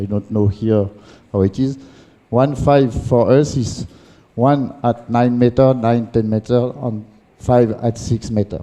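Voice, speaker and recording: A voice with a French accent speaks at a fairly slow pace, with ordinary pitch variation. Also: man. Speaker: handball coach educator. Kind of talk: lecture. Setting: conference with audience. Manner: halting.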